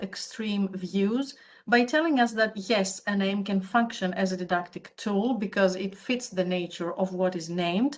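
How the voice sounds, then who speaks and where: A woman with a Greek accent speaks at a moderate pace. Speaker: academic conference speaker. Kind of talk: conference paper presentation.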